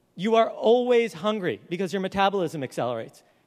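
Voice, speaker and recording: A man's voice sits high in pitch. His intonation is lively. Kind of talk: conference talk. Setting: live event stage. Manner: humorous, casual storytelling.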